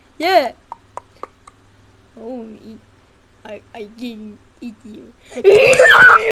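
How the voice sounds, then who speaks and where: A female-sounding, cartoonish character voice pitched high for a woman. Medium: puppet.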